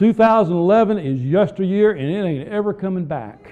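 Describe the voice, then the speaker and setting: Over noticeable background noise, a man talks at a fairly slow pace. His pitch is high, and his intonation is lively. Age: 50s. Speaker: pastor. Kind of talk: sermon.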